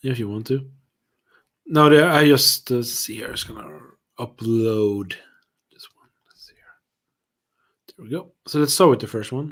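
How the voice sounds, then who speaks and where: Someone with a Swedish accent talks at a moderate pace, with long, frequent pauses. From Sweden. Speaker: whisky reviewer, livestream co-host. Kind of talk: casual chat. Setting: livestream.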